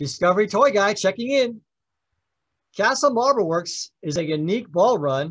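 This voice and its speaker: With lively intonation, a man speaks at a moderate pace. Nothing much can be heard behind him. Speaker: toy demonstrator. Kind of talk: product demonstration. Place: home room.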